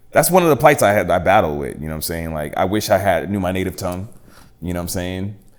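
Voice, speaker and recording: With noticeable background noise behind him, a man speaks in a very deep, low pitch and lively intonation. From Boston, Massachusetts (Dorchester, then Randolph suburbs). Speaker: hip hop artist. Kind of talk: casual interview. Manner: casual, halting with many fillers.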